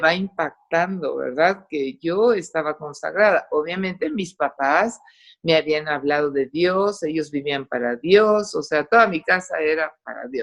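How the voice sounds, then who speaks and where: In an English accent, a woman with a fairly low pitch talks at a fairly slow pace, with lively intonation and hardly any pauses. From Costa Rica, raised in English until moving to Mexico at 8-9. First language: English (speaking Spanish). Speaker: testimony giver, doctor. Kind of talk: testimony. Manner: animated.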